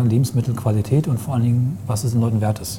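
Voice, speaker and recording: Noticeable background noise fills the clip. The words come at a very fast pace. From Eichsfeld region near Göttingen, Germany. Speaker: podcast co-host. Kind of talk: casual chat. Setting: café and walking around a market hall.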